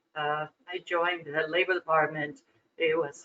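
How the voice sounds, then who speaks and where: A woman's fairly low voice proceeds at a moderate rate. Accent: Spanish. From Cuba. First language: Spanish. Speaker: corporate board director. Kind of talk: interview.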